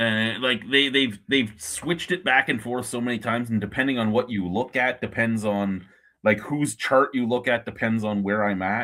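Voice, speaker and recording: With a Canadian accent, a man talks in a plain, everyday voice at medium pitch and a moderate pace, with ordinary pitch variation and hardly any pauses. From Ontario, Canada. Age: 40s. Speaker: beer review streamer. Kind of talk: casual chat.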